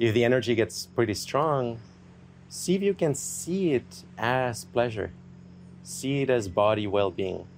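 With a normal speaking voice, a man at medium pitch uses lively intonation at a fairly slow pace, keeping his loudness very even. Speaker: meditation teacher. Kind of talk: guided meditation. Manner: soothing, gentle, hypnotic.

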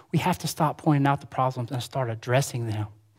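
A man with an Alabama accent, talking very fast, on a very clean recording with a silent background. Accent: Southern US (Alabama). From US South, rural Alabama. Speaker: preacher. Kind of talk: sermon. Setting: church with congregation.

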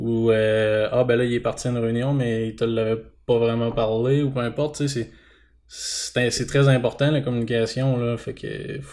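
The recording is very clean with total silence behind him as a man talks in a flat monotone. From Quebec, Bas-Saint-Laurent (Témiscouata). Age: 20s. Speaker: dairy farmer. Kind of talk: casual interview.

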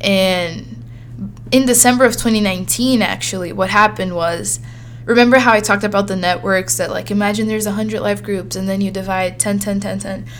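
Noticeable background noise behind a woman at a moderate pace. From Brazil; Sao Paulo, Brazil. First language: Portuguese. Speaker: podcast host. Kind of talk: solo monologue, casual storytelling. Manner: animated, friendly.

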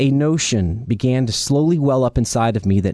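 Over a quiet background, a man speaks with an American accent. His tone is dark and mellow, and his intonation is lively. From US South, Charleston, South Carolina. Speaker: recovering alcoholic sharing testimony, financial controller. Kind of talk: testimony read from prepared text; casual interview.

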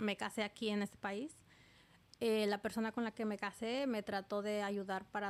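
On a very clean recording with a silent background, a woman with a plain, everyday voice speaks at a fairly high pitch and a fairly slow pace. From Oaxaca, Mexico. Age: 30s. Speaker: immigrant. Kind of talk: testimony.

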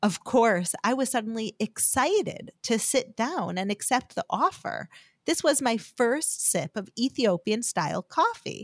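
In a normal speaking voice with an American accent, the speaker talks at a fairly slow pace with lively intonation, in a dry, close sound with no echo. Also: woman, fairly high pitch for a woman. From United States. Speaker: podcast host and religious teacher. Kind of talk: scripted teaching talk.

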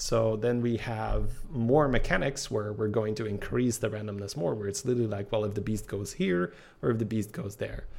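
With a non-native accent, a man talks at a fairly quick pace, his fairly low pitch showing ordinary pitch variation. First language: not English. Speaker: podcast co-host, game streamer. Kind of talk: casual chat.

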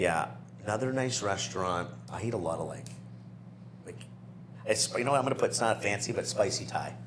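A man's fairly low voice at a fairly quick pace, with very wide pitch swings, long, frequent pauses, audible room echo and noticeable background noise. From New Brunswick, Canada. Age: 30s. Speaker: property management business owner. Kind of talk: casual interview.

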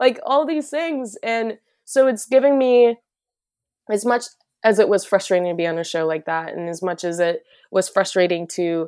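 A woman with an unremarkable speaking voice and an American accent, lively intonation and a moderate pace, on a very clean recording with a silent background. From US Midwest, northern Minnesota. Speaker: musician and Korean adoptee. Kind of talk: casual interview.

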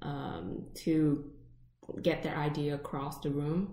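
Audible room echo surrounds a woman whose very deep, low pitch, dark, mellow tone and fairly even intonation carry through. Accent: Vietnamese. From Vietnam. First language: Vietnamese. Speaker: podcast co-host. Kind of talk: casual chat.

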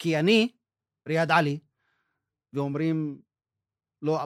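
On a very clean recording with a silent background, a man with an Arabic accent speaks at a fairly slow pace with ordinary pitch variation. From northern Israel, Druze village. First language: Arabic (speaking Hebrew). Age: 60s. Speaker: journalist and documentary maker. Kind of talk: interview testimony.

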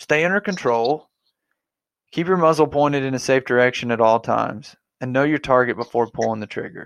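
An ordinary speaking voice from a man, medium pitch, ordinary pitch variation, fairly quick pace, dry, close sound with no echo and a quiet background. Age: 30s. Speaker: podcast host, waterfowl hunter. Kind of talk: podcast interview.

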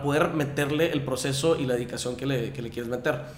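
There is audible room echo and noticeable background noise. A man speaks at a fairly high pitch with ordinary pitch variation. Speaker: fitness instructor. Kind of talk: casual chat.

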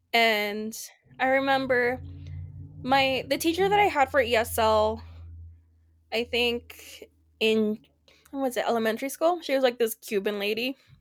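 A woman with a high pitch speaks with long, frequent pauses. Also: ordinary pitch variation, moderate pace. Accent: Spanish. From Paraguay (Asunción), raised in central Oregon from age six. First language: Spanish. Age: 30s. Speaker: podcast guest, graphic designer. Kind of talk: casual chat. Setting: video call.

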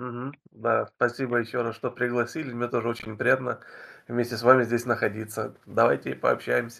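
Very fast and at a medium pitch, a man speaks with a bright, sharp tone, vocal fry and fairly even intonation. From Ukraine. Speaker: YouTuber and game guest. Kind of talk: casual interview chat via translator.

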